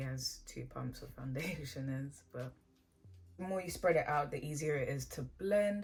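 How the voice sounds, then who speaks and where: Over faint background music, a woman speaks at a moderate pace, her loudness swinging widely. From England. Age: young. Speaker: beauty YouTuber; beauty vlogger. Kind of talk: makeup tutorial with Q&A. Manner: casual. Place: home room.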